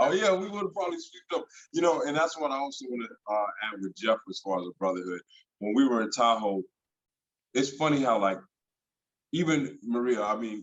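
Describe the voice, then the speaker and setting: Delivered at a fairly quick pace with an American accent, the voice makes very wide pitch swings broken by long, frequent pauses. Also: man. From San Francisco Bay Area, California. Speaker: actor, voiceover artist, hip-hop recording artist. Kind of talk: interview answer. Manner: casual, conversational.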